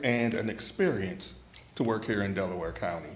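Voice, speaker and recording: Room echo is audible as a man speaks. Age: 60s. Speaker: retiring paramedic. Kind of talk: farewell speech.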